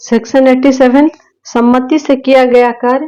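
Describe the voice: A woman with a high pitch and a dark, mellow tone speaks at a moderate pace with fairly even intonation.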